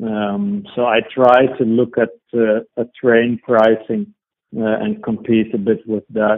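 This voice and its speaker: Very slowly and in a monotone, flat way, a man with a Dutch accent speaks at a medium pitch. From Netherlands. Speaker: IT consultant and electric road trip blogger. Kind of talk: interview. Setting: phone call.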